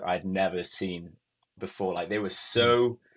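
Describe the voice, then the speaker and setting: Fairly slow, fairly even male speech in a Welsh accent. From Wales, Cardiff. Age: 20s. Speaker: youth missionary. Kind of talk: testimony. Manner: casual, many filler words.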